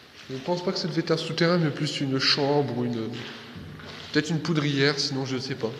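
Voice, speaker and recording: A man's fairly high voice at a fairly quick pace, with noticeable background noise and audible room echo. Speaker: amateur video host touring a castle. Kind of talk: casual tour commentary. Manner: hesitant.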